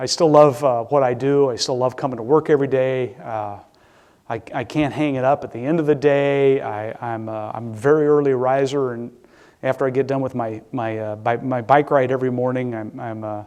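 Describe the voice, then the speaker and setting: A man with a Midwestern US accent talks fairly quickly at a medium pitch. His intonation is fairly even, his loudness swings widely, and the background is quiet. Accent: US Midwest. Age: 60s. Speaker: public safety director. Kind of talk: lecture. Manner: halting.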